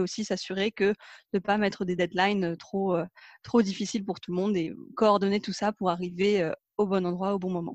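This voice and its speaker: Heard with a dry, close sound and no echo, a woman in a plain, everyday voice talks at a moderate pace and a medium pitch. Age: 20s. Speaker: environmental program manager. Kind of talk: casual interview.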